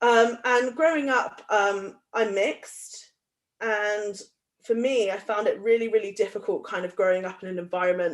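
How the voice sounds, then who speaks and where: A woman's fairly high voice in a West Country accent, with ordinary pitch variation and a moderate pace. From Somerset, England. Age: young. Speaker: youth community activist. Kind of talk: guest talk at live online event. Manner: casual, hesitant with fillers.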